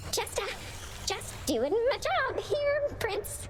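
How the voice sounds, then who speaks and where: A woman's squeaky put-on character voice at an extremely high pitch, very slow pace, over loud background noise. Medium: video game. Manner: nervous, stammering.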